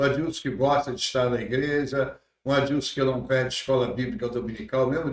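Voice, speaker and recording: A somewhat breathy man's voice at a moderate pace. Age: 70s. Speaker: pastor. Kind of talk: casual interview. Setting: church podcast studio.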